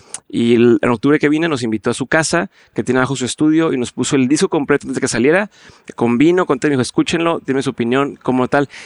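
A man with a northern Mexican accent talks very fast at a fairly high pitch, with ordinary pitch variation. The sound is dry and close, with no echo. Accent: northern Mexican (Monterrey) Spanish. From northern Mexico, Monterrey. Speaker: entrepreneur and podcaster. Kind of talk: interview conversation. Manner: direct.

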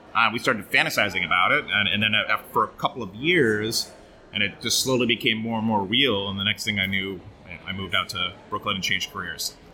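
Backed by music, a man with an American accent talks at a very fast pace, his fairly low pitch showing ordinary variation. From Oregon, US. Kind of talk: casual interview.

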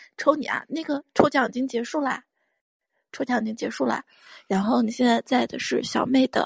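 A high-pitched woman at a moderate pace with fairly even intonation, in a dry, close sound with no echo. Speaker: livestream guest host. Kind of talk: casual livestream chat. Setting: online livestream.

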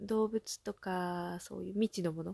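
The speaker has a relaxed tone and a moderate pace. The sound is dry and close, with no echo. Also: woman. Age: 30s. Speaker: solo podcaster. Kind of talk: casual monologue. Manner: relaxed, frequent filler うん.

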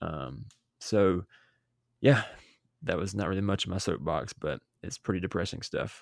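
On a very clean recording with a silent background and a dry, close sound with no echo, a man with a very deep, low pitch and vocal fry speaks at a moderate pace, with lively intonation and long, frequent pauses. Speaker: podcast host. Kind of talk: casual chat.

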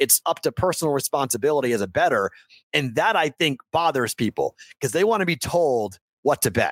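On a very clean recording with a silent background and a dry, close sound with no echo, a man speaks at a fairly quick pace with fairly high pitch, very wide pitch swings, vocal fry and very even loudness. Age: 40s. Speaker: sports betting podcast host. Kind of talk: casual interview chat.

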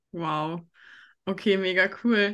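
A woman's bright, sharp tone carries ordinary pitch variation. The background is quiet. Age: 20s. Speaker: podcast host and life coach. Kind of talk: casual interview chat. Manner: animated.

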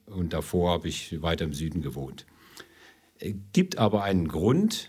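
Very wide pitch swings and a moderate pace from a male speaker. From Ludwigshafen am Rhein, southwestern Germany. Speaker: energy company executive. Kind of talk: interview.

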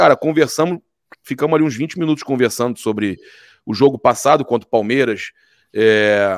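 A man with a normal speaking voice, medium pitch, ordinary pitch variation and a fairly quick pace, in a dry, close sound with no echo. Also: very clean recording, silent background. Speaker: sports commentator. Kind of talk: sports debate.

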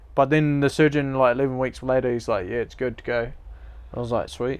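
Speaking at a fairly quick pace, a man with a New Zealand accent keeps a medium pitch and fairly even intonation. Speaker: mountain bike racer. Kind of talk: casual interview. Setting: outdoors.

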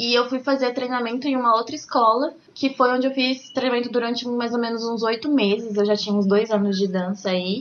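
Moderate pace with ordinary pitch variation. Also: woman. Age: 20s. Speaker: ballroom dance teacher. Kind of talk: casual interview.

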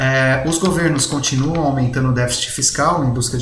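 A man of medium pitch speaks in a Brazilian accent. Audible room echo and noticeable background noise fill the recording. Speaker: economics professor and trader. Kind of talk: market commentary. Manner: frequent fillers and hesitations.

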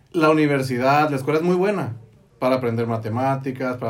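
A man's medium-pitched voice with ordinary pitch variation, audible room echo and music in the background. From Mexico, Baja California (Tecate). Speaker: engineer and network marketing entrepreneur. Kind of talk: casual interview. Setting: studio.

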